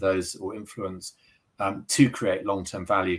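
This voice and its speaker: Speaking at a fairly quick pace, this man has a British accent. His tone is bright and sharp, his pitch fairly low. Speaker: sustainability executive, accountant. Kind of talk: interview. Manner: halting, many fillers and repetitions.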